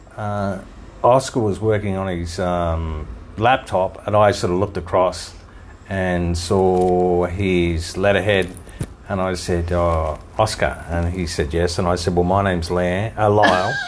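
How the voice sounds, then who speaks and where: A man with an Australian accent and a very deep, low pitch talks at a fairly slow pace with fairly even intonation, with noticeable background noise and audible room echo. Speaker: podcast co-host. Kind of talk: casual chat. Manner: hesitant, many fillers.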